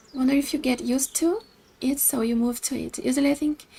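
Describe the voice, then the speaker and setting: Over noticeable background noise, a woman with a Brazilian accent talks at a fairly quick pace and a high pitch. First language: Portuguese. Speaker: video game streamer. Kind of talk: casual chat; reading aloud. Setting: live stream.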